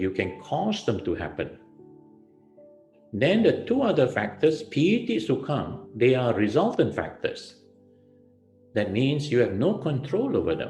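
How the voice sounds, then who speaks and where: A man at a medium pitch with very wide pitch swings, speaking at a fairly slow pace with long, frequent pauses, over music in the background and audible room echo. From Malaysia, Melaka. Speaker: Buddhist monk. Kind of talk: dharma talk.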